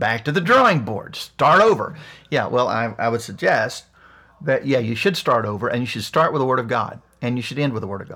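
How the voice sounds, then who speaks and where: A bright, sharp tone in an Appalachian accent, with lively intonation and a fairly quick pace. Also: man. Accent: Appalachian American. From US Appalachia, West Virginia. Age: 50s. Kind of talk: monologue rant.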